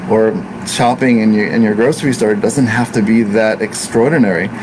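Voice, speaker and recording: Through noticeable background noise, a man speaks at a fairly quick pace and a medium pitch with fairly even intonation. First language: Italian. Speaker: ayurvedic practitioner. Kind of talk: casual talk to camera.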